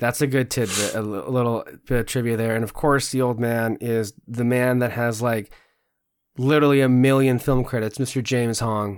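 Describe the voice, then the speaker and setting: At a moderate pace, a man with a medium pitch speaks in a monotone, flat manner. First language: Spanish. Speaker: podcast host. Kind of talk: casual chat. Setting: video recording, online. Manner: frequent fillers and restarts.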